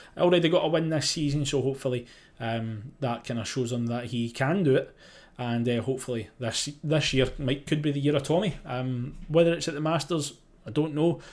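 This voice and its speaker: With a Scottish accent, a man speaks at a fairly quick pace and a fairly high pitch, with ordinary pitch variation, in a very clean recording with a silent background. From Scotland. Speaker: sports journalist, golf podcast host. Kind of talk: live podcast preview chat. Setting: live stream. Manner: casual, hesitant with fillers.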